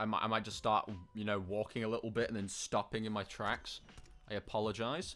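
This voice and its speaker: Over music in the background, a man speaks at a fairly quick pace with a fairly low pitch. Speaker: gaming streamer. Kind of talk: live gameplay commentary. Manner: loud; animated.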